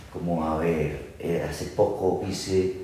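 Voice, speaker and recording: A man speaks in a very deep, low voice with an Antioquian accent. Noticeable background noise and audible room echo surround him. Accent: Antioquian (paisa) Spanish. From Antioquia, Colombia. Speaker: actor. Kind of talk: interview conversation. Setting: at home, casual recording.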